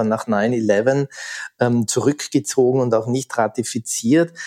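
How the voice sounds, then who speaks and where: This man has an unremarkable speaking voice, medium in pitch, talking at a fairly slow pace in a dry, close sound with no echo. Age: 50s. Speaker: thriller author. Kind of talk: interview.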